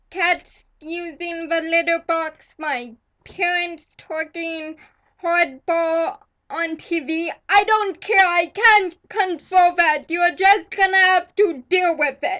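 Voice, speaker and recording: A woman speaks very slowly at an extremely high pitch in a bright, sharp tone. Her voice is raised and projected, with fairly even intonation. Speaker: vlogger. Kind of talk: angry vlog rant. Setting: at home. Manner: loud at times.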